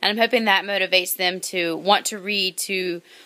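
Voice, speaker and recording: This woman's medium-pitched voice has a bright, sharp tone and fairly even intonation. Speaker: kindergarten teacher. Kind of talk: video blog. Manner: fast.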